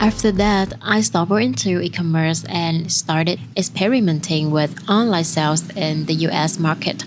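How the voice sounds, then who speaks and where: This woman's voice sits fairly low, with ordinary pitch variation. Noticeable background noise runs under it. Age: 20s. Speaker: photographer. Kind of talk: personal vlog narration.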